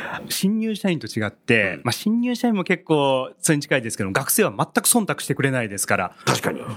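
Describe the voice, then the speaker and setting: A man with a fairly high pitch talks at a fairly quick pace, with very wide pitch swings and hardly any pauses. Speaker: company president. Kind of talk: interview. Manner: halting.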